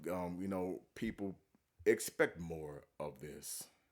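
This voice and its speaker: A man speaks with a very deep, low pitch. His pitch varies in an ordinary way. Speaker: religious commentary youtuber. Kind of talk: reaction video commentary. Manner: animated.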